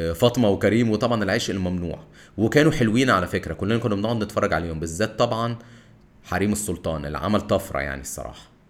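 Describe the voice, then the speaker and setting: A man talks at a very fast pace in a Cairo accent, his pitch fairly low and his intonation lively. The recording is very clean, with a silent background. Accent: Egyptian Arabic (Cairene). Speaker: podcast host. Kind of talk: solo monologue on film history. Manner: casual, conversational.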